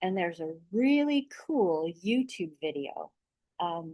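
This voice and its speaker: A woman uses lively intonation at a medium pitch. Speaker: massage therapist. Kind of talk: video letter, casual talk to camera. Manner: speaking louder than usual; hesitant, many fillers. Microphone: own voice gets a little quiet in recordings.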